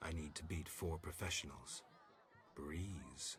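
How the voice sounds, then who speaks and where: A man puts on a character voice with a very deep, low pitch. He goes at a fairly slow pace over clear background noise. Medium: video game. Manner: terse, deadpan.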